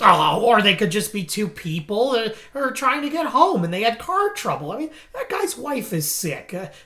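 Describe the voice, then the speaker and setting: A man puts on a character voice at an extremely high pitch, with very wide pitch swings. Light background noise is present. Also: moderate pace. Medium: stage play. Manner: stammering, filler-heavy.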